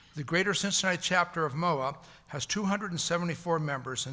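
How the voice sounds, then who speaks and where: The man's tone is bright and sharp, and his pitch varies in an ordinary way. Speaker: military officers association representative. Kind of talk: prepared sponsor announcement.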